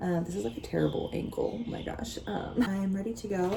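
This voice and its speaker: The woman's voice has a dark, mellow tone and is somewhat breathy. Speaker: vlogger. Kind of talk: interview answers; casual vlog talk to camera. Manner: quiet; fast, rambling.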